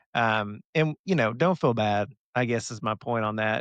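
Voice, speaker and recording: Over a quiet background, a man with an American accent talks at a medium pitch with ordinary pitch variation, the sound dry and close with no echo. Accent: Southern US, stronger when excited. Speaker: pharmacist podcast host. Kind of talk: casual chat.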